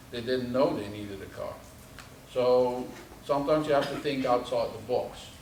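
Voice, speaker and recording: A man at medium pitch and a moderate pace, with audible room echo and noticeable background noise. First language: not English. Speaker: subsea engineer. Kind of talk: presentation to audience. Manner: hesitant, many fillers.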